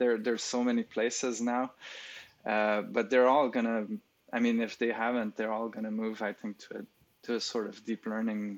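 This man speaks with a French accent at a moderate pace. His medium-pitched delivery is flat and monotone. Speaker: speech recognition expert. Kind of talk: interview, conversational. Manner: hesitant, filler-heavy.

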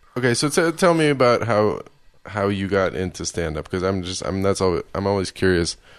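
Against a quiet background, a man with an American accent and a normal speaking voice talks fairly quickly, with a fairly low pitch and lively intonation. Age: 30s. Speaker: podcast host and comedian. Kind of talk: casual interview.

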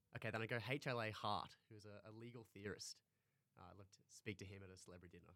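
Talking at a very fast pace, a man with an Australian accent shows big swings in loudness. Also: fairly low pitch for a man. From North Queensland, Australia (Townsville). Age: 20s. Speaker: university student and hockey goalkeeper. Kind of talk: interview.

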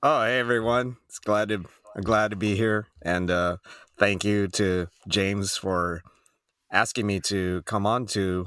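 Fairly low in pitch, a man with an American accent and an unremarkable speaking voice talks at a fairly slow pace with fairly even intonation. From Arizona, US. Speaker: gaming podcast co-host. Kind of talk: casual chat.

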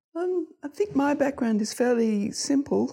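A woman with an Australian accent at a moderate pace, on a very clean recording with a silent background. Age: 70s. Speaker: GP. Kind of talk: group lunch conversation.

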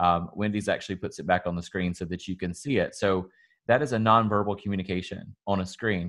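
Against a quiet background, a man with a Southern US accent speaks at a fairly quick pace, with a fairly low pitch and ordinary pitch variation. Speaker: salon owner and podcast host. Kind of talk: casual podcast conversation.

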